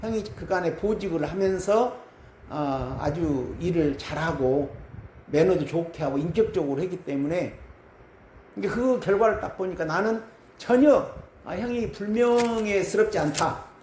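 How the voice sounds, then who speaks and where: Through noticeable background noise and audible room echo, a man talks at a high pitch with lively intonation. His pace is fairly slow. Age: 60s. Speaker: pastor. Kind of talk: sermon.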